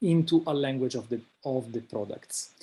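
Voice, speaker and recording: In an Italian accent, a man speaks with fairly even intonation at a fairly high pitch. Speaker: invited speaker, researcher. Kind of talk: lecture. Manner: halting, many fillers.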